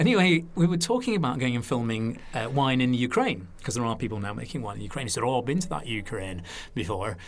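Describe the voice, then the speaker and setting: A man with a northern English accent talks at a very fast pace, his pitch swinging very widely. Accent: specific northern English school. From northern England. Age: 50s. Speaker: TV wine presenter. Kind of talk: casual interview chat. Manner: animated storytelling.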